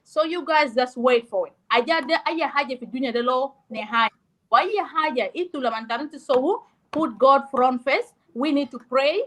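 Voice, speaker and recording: A loud, high-pitched woman's voice at a moderate pace with ordinary pitch variation. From South Sudan. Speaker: discussion participant. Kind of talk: heated debate.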